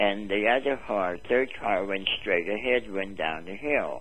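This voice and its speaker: At a very slow pace, a man with a fairly low pitch speaks with ordinary pitch variation. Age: 80s+. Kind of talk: interview answer.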